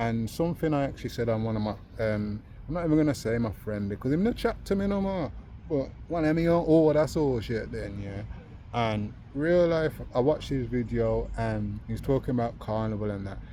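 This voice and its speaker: Speaking with a Birmingham accent, a man talks at a fairly quick pace. His voice sits at a medium pitch with a dark, mellow tone. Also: lively intonation. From Birmingham, England. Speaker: vlogger. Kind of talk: casual vlog chat. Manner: animated.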